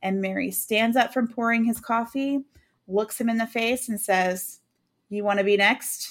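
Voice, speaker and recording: A normal speaking voice from a woman, fairly high in pitch, at a moderate pace, on a very clean recording with a silent background. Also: fairly even intonation. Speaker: true crime podcast host. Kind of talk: casual chat, recapping a case.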